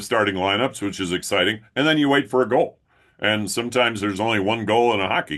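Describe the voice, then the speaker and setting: A man with a fairly low pitch and ordinary pitch variation speaks at a very fast pace. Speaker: public address announcer. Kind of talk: interview answer. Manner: casual, conversational.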